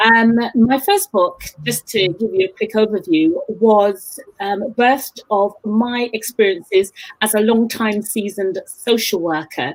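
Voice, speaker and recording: A woman with a London accent speaks at a fairly slow pace. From East London, England. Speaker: book show host and author. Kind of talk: casual interview chat.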